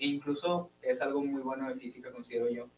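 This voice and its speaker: Speaking at a fairly quick pace with lively intonation, a man comes through over light background noise. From Hermosillo, Sonora, Mexico; Sonora, Mexico. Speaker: physics student; guest. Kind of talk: casual interview. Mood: relaxed, friendly. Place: studio. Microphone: studio mic.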